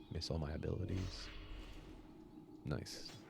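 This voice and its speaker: A man whispers in a soft-spoken way. His tone is relaxed. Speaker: gaming ASMR streamer. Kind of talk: casual talk to camera, gameplay commentary. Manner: soft-spoken, relaxed, whispery.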